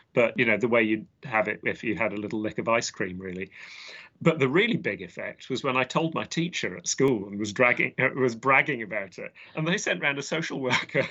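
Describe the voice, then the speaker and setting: A man with an English accent talks in a medium pitch. His pace is fairly quick. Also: lively intonation. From southwest London, England. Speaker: botanist and author. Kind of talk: interview. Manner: halting, many fillers.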